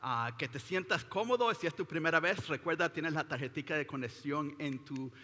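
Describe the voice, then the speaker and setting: A bright, sharp tone at a moderate pace with ordinary pitch variation. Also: man. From Latin America. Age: 50s. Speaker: pastor. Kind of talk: sermon. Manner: halting, many repetitions and fillers.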